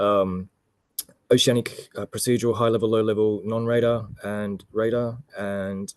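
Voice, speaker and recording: A man speaks with an Australian accent in a fairly low pitch and fairly even intonation. The sound is dry and close, with no echo. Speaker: air traffic control expert. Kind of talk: webinar self-introduction.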